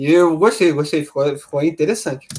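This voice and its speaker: A man speaks with ordinary pitch variation. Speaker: music review podcaster. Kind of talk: casual music analysis commentary. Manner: halting, repeats words; animated.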